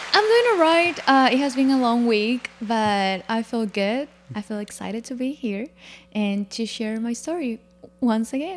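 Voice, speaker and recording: A woman with a Spanish accent, fairly high pitch, ordinary pitch variation and a fairly slow pace. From Paraguay. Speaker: former college goalkeeper and bank worker. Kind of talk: podcast interview.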